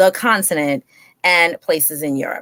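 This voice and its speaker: The pitch swings very widely. The tone is animated. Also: woman. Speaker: talk show host and educator. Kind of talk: live online interview introduction. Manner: fast.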